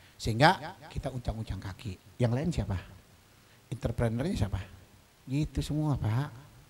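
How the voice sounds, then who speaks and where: A somewhat breathy man talks at a moderate pace and a medium pitch. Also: lively intonation. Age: 60s. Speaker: religious leader of a study assembly. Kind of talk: speech at an inauguration event. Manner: animated.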